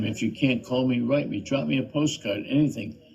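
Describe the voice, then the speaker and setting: Here is a man with an American accent and medium pitch. His somewhat breathy voice moves at a moderate pace. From US South. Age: 80s+. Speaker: channel host, activist commentator. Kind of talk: monologue appeal to viewers. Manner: halting.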